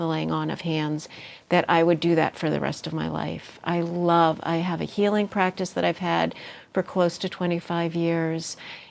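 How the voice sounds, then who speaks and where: A woman's fairly low-pitched, plain, everyday voice at a moderate pace with fairly even intonation. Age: 60s. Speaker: healer and meditation teacher. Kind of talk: interview.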